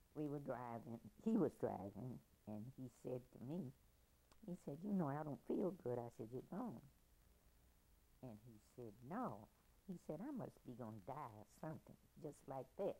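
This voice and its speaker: A woman with a very deep, low pitch and a dark, mellow tone speaks at a fairly slow pace with long, frequent pauses. Her pitch swings very widely and her loudness shifts a lot. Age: 80s+. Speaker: grandmother telling family history. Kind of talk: oral history interview.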